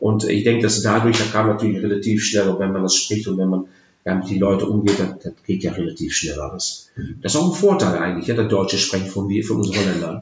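Speaking at a very fast pace, a man has a fairly low pitch and ordinary pitch variation. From Netherlands, Twente (Enschede area). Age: 50s. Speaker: leisure park general manager. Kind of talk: bilingual interview, casual. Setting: in person. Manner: halting, many hesitations.

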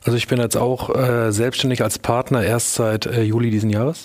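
Here a man speaks at a moderate pace and medium pitch. His is an unremarkable speaking voice. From Lower Franconia, Germany (near Würzburg). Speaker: lawyer, law firm partner. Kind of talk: panel discussion. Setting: stage.

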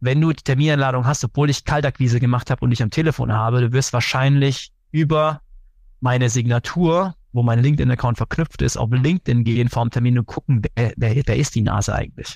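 A man with a medium-pitched, somewhat breathy voice talks at a fairly quick pace with ordinary pitch variation and very even loudness, in a dry, close sound with no echo. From Germany, Karlsruhe. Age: 30s. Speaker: sales executive. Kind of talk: interview. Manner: hesitant with many fillers.

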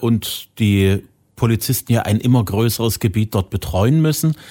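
The recording is very clean with a silent background, and the man's voice has a dark, mellow tone. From Saxony. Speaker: podcast host. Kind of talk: interview conversation.

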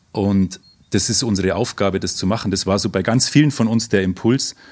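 Fairly low-pitched male speech at a moderate pace with fairly even intonation, on a very clean recording with a silent background. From Oberammergau, Upper Bavaria, Germany. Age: 40s. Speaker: psychologist and passion play actor. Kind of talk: interview. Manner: hesitant, with fillers and repetitions.

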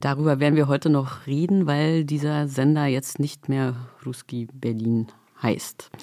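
Fairly slow speech comes in a dark, mellow tone. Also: woman, very deep, low pitch for a woman. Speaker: podcast host. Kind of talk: moderated interview. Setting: studio.

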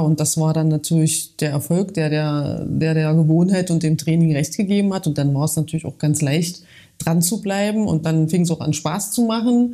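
This woman speaks with a dark, mellow tone at a fairly low pitch. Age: 40s. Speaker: coaching client. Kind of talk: interview testimony.

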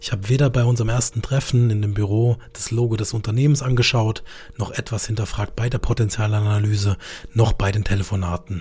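In a Baden accent, a man talks at a fairly quick pace, with a medium pitch and fairly even intonation. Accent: regional Baden dialect, noticeable. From Karlsruhe, southern Germany. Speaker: insurance broker podcast host. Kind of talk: monologue storytelling.

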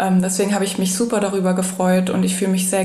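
Noticeable background noise and audible room echo around a woman's voice at medium pitch. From Germany, Frankfurt. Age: 20s. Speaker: university student. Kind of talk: interview.

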